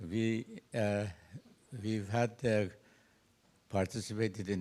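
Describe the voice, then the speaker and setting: On a very clean recording with a silent background, a man with a Persian accent speaks at a fairly slow pace. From Iran. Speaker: astrophysicist, audience member. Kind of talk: audience question at a seminar.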